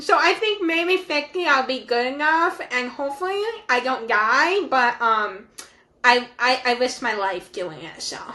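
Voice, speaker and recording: A woman speaks at a fairly slow pace with a high, bright and sharp voice. She projects loudly, and her pitch swings very widely. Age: young. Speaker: podcast co-host. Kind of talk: casual chat.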